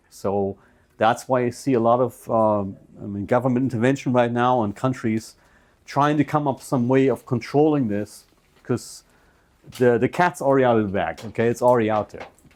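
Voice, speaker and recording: Speaking with a German accent, a man keeps a fairly quick pace. His pitch is medium, with ordinary pitch variation. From Germany. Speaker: computer business owner. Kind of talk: seminar talk. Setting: presentation to audience.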